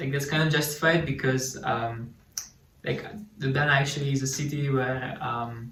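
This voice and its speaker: A man speaks at a moderate pace with fairly high pitch. Audible room echo and noticeable background noise surround him. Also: fairly even intonation. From Slovenia. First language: Slovene. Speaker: student sharing local life. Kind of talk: casual chat.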